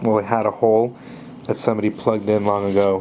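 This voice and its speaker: Noticeable background noise accompanies a man speaking in a monotone, flat intonation. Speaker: coin collector. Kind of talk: casual talk to camera. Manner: hesitant, many fillers.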